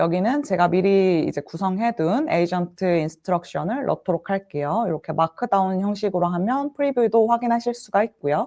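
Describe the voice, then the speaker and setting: A dark, mellow tone and lively intonation come through at a fairly quick pace with hardly any pauses. The recording is very clean, the background silent. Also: woman, medium pitch for a woman. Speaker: solution engineer presenting tech session. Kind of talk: tech demo presentation. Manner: fast.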